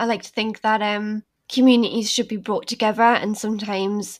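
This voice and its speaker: A woman talks at a fairly quick pace in a Geordie accent. Her pitch sits in the medium range. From northern England, Newcastle. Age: 20s. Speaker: creative director of an online pagan magazine. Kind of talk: podcast interview.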